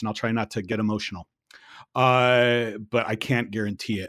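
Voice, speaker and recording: A man talks with a medium pitch. The recording is very clean and the background is silent. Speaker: podcast host and learning professional. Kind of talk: casual chat. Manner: animated.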